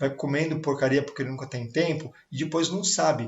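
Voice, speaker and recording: The man speaks fairly slowly in a fairly high, somewhat breathy voice, keeping his intonation fairly even. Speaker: sales coach. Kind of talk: online talk on sales. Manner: casual, filler-heavy.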